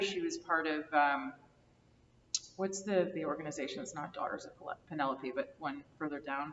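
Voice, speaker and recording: Noticeable background noise beneath a woman's lively intonation. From US Northeast, New Jersey. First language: Greek. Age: 30s. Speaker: oral history interviewee. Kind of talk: oral history interview.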